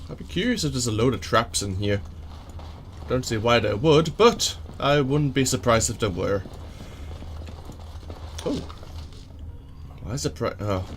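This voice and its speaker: Speaking at a moderate pace with lively intonation, a man with a medium pitch leaves long, frequent pauses. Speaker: let's play gamer. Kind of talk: casual gameplay commentary.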